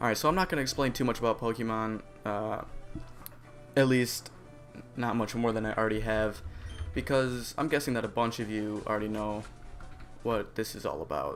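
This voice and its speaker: A man mumbles quietly at a fairly quick pace in a medium pitch, with long, frequent pauses and music playing in the background. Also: ordinary pitch variation. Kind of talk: video game let's play commentary. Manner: quiet, somewhat mumbled.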